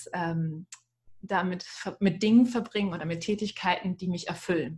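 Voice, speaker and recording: A woman with a plain, everyday voice speaks at a moderate pace, at medium pitch and with fairly even intonation. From Ruhr area, Germany. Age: 30s. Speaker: communications officer and cabaret performer. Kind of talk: casual chat.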